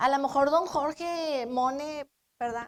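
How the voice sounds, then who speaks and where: A high-pitched woman's voice with ordinary pitch variation and a dry, close sound free of echo. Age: 60s. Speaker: pastor. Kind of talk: sermon.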